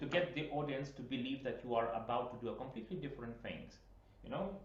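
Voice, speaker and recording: A man with a Lithuanian accent talks at a very fast pace, at a medium pitch with ordinary pitch variation. Audible room echo and noticeable background noise surround his voice. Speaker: piano teacher. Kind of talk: masterclass instruction. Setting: video call.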